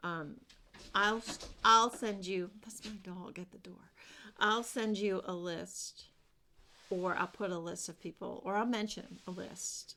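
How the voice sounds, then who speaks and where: A soft-spoken woman mumbles at a fairly slow pace with long, frequent pauses and fairly even intonation. Her tone is bright and sharp, and her loudness swings widely. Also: medium pitch for a woman, very clean recording, silent background. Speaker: craft vlogger. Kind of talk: casual chat. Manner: mumbling.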